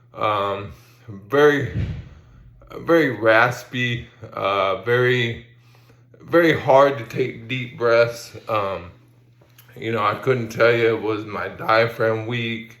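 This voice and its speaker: Speech comes at a very slow pace with long, frequent pauses, over noticeable background noise and audible room echo. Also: man. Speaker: person living with ALS sharing health update. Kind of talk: personal video update. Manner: halting, many fillers; some slurred pronunciation.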